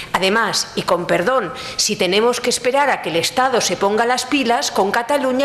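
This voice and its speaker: Amid noticeable background noise and audible room echo, a woman speaks at a moderate pace with ordinary pitch variation. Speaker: law professor. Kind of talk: conference talk.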